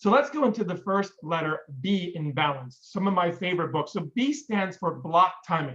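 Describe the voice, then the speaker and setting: The speaker has an energetic tone and talks with an American accent. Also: man. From Pennsylvania. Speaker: business coach and speaker. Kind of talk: presentation on book recommendations. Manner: fast.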